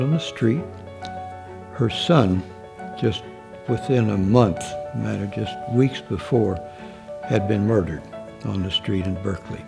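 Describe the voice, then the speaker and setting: With music in the background, a man at medium pitch talks at a fairly slow pace with lively intonation. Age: 80s+. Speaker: physician at a free clinic. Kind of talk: interview answer.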